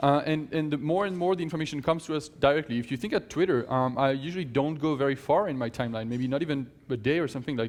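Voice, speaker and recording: Speech comes at a very fast pace with hardly any pauses. Pitch variation is ordinary. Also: man, fairly high pitch for a man. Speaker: conference speaker; tech company CEO. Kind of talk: conference talk. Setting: stage with audience.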